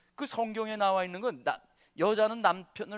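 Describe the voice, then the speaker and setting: A man talks at a moderate pace in a high-pitched voice. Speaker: pastor. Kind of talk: lecture. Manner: animated.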